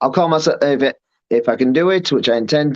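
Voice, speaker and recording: A man with a Yorkshire accent speaks at a fairly quick pace. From Yorkshire, northern England. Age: 30s. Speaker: professional wrestler. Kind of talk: interview.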